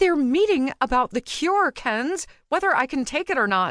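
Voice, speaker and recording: A woman speaks at a moderate pace in a put-on character voice pitched high, over a quiet background. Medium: read story.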